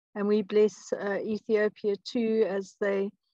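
Against a quiet background, a woman talks at a fairly slow pace. Her intonation is monotone and flat. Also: dry sound with no echo. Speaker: prayer participant. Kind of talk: fervent prayer. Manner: earnest. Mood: reverent, quiet prayer. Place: home room. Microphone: video call.

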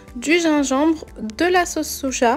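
A woman's voice with fairly even intonation over faint music in the background. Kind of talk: cooking tutorial.

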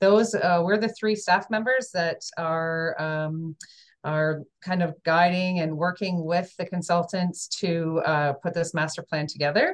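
Speaking at a fairly slow pace over a quiet background, a woman uses an ordinary speaking voice with ordinary pitch variation. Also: fairly low pitch for a woman. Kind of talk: meeting presentation introduction. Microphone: video call.

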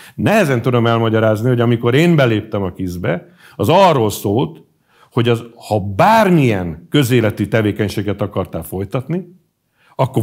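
Over a quiet background, a man with a medium pitch speaks at a moderate pace with lively intonation. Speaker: pro-government media editor; interview guest. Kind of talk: interview. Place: studio.

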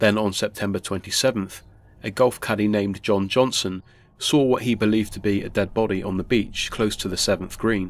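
In a very clean recording with a silent background, a man with an unremarkable speaking voice talks at a moderate pace, his fairly low pitch held in fairly even intonation. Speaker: YouTube storyteller. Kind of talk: scripted ghost story narration, eerie and measured. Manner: formal.

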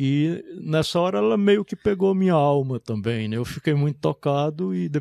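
Fairly high for a man, the voice has a dark, mellow tone and comes with a northeastern Brazilian accent. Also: dry sound with no echo. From Brazilian Northeast, Caraúbas, Rio Grande do Norte; Rio Grande do Norte, Brazil. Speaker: literature professor and author; literature professor. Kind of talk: interview talk about his books. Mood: reflective, moved. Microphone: studio mic.

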